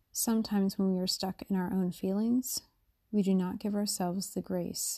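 A woman's somewhat breathy, gentle, soothing voice, medium in pitch, with a dark, mellow tone and monotone, flat intonation, over a quiet background. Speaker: meditation guide. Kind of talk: guided meditation. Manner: slow, soothing, calm; gentle, unhurried with long pauses.

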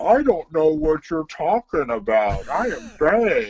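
Putting on a character voice, a man talks at a fairly high pitch with very wide pitch swings. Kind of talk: comedic. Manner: dumb, slow.

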